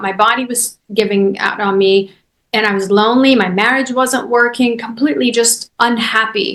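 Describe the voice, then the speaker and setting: Speaking with a Persian accent, a woman uses a fairly high pitch and fairly even intonation. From Iran. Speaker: chiropractor and business coach. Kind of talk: podcast interview.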